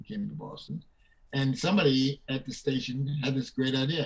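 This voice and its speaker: Speaking at a fairly slow pace in an American accent, a somewhat breathy man uses a medium pitch with ordinary pitch variation. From Brooklyn, New York. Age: 90s. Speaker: actor and former news anchor. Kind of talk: casual interview chat.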